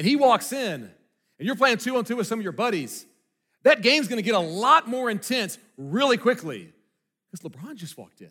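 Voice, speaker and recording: A man's raised, projected voice at an extremely high pitch, fairly quick and lively in intonation, with big swings in loudness and long, frequent pauses. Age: 30s. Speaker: pastor. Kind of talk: sermon. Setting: church with congregation. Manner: casual, halting with fillers.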